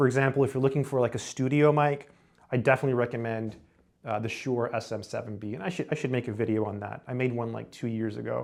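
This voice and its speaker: A man at medium pitch, very fast pace and fairly even intonation. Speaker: YouTube creator reviewing gear. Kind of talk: product review. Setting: empty room with hard floors, poor acoustics. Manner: casual, many fillers and repeats.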